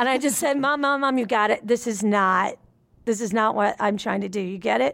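On a very clean recording with a silent background, a woman in an unremarkable speaking voice talks fairly quickly, her fairly high pitch showing ordinary variation. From US South, Nashville, Tennessee. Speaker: musician and comedian. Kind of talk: casual chat.

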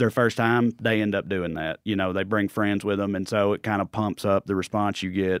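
A man with a Tennessee accent talks at a fairly low pitch, his voice dry and close with no echo. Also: very clean recording, silent background. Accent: Southern US, Tennessee. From Clay County, Tennessee. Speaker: comedian. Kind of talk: casual chat.

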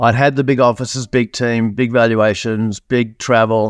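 A man with an Australian accent at a fairly slow pace, in a dry, close sound with no echo. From Australia, born in New Zealand. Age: 50s. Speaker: business coach and entrepreneur. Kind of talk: interview. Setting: video call. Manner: animated.

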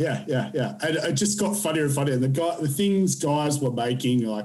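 A man with a fairly high pitch and slightly mellow tone speaks at a moderate pace, with ordinary pitch variation and audible room echo.

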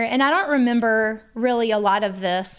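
A woman with an ordinary speaking voice talks at a moderate pace, her fairly high pitch moving with ordinary variation. The recording is very clean, with a silent background. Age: 30s. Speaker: wife of a country singer, mother. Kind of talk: casual interview chat.

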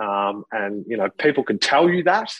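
In an Australian accent, a man speaks at a moderate pace with a fairly low pitch, recorded with a dry, close sound and no echo. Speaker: former professional footballer. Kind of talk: interview testimony. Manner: halting, many fillers.

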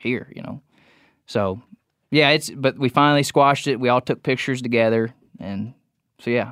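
With an American accent, a man speaks at a moderate pace and medium pitch, his intonation fairly even and broken by long, frequent pauses. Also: dry, close sound with no echo. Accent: Southern-leaning rural. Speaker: deer hunter. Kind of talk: casual chat. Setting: studio.

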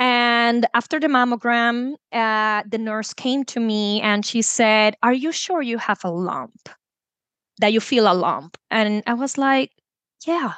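A woman with a Puerto Rican accent speaks at a very slow pace and a fairly high pitch. The sound is dry and close, with no echo. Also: ordinary pitch variation, quiet background. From Puerto Rico. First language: Spanish. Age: 30s. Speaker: chemist and wellness coach. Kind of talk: personal testimony interview.

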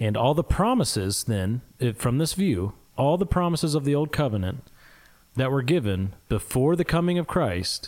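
A man with a Midwestern US accent and lively intonation, in a very clean recording with a silent background. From US Midwest. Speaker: podcast co-host. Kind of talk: casual theological discussion.

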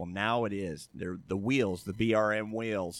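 The recording is very clean with a silent background. A man with an American accent speaks fairly slowly in a fairly low pitch with ordinary pitch variation. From Southern California (La Habra). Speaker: retired magazine photographer. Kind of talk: casual chat. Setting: outdoors at a diner.

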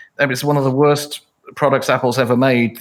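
Speaking at a moderate pace, a man with a British accent has a fairly high-pitched voice. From England. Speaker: author and emcee. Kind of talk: casual interview conversation. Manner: humorous, wry.

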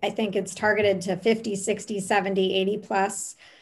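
A woman's ordinary speaking voice, medium in pitch, at a fairly slow pace. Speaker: podcast co-host. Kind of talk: podcast interview conversation.

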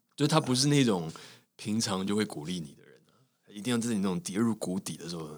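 Very fast, lively intonation with big swings in loudness, on a very clean recording with a silent background. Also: man, fairly low pitch for a man. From Taiwan. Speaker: actor and radio host. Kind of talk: interview conversation.

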